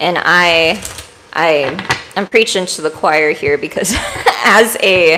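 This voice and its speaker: Noticeable background noise beneath speech with ordinary pitch variation. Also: woman. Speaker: tarot reader. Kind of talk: live-streamed tarot reading. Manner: casual, chatty.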